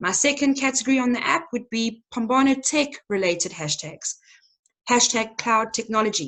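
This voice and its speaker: This woman has a fairly high pitch. Her intonation is lively. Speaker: nonprofit tech trainer. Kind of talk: webinar presentation. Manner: fast.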